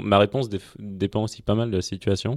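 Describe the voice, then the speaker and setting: Recorded very cleanly with a silent background and a dry, close sound with no echo, a man with an unremarkable speaking voice talks at a moderate pace and a fairly low pitch. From France, Auvergne (Clermont-Ferrand). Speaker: venture capital investor. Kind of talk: casual interview.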